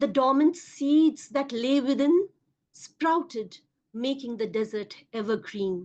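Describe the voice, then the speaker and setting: A high-voiced woman speaks in a Bengali accent with lively intonation. Her pace is very slow. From India, Kolkata. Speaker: poet. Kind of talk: poetry reading.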